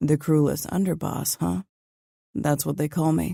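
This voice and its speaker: In a put-on character voice, raspy and at a middle pitch, the speaker keeps a moderate pace on a very clean recording with a silent background. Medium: read story. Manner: clipped, authoritative.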